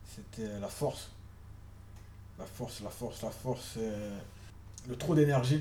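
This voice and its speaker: Somewhat breathy, a man speaks at a fairly slow pace in a dark, mellow, medium-pitched voice with ordinary pitch variation and audible room echo. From Paris suburbs, France. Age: 30s. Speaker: social worker. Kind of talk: interview. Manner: halting.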